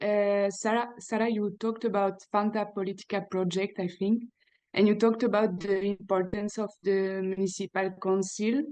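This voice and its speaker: A woman with a non-native accent speaks at a fairly high pitch. Her intonation is monotone and flat. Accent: foreign. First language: not English. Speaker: audience member. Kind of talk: audience question. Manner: halting.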